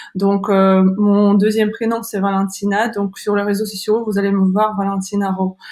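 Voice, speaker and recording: A woman's medium-pitched voice, monotone and flat, at a moderate pace with hardly any pauses. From Kazakhstan. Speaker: online school founder and career coach. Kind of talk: webinar presentation. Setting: online webinar. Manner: halting, many hesitations.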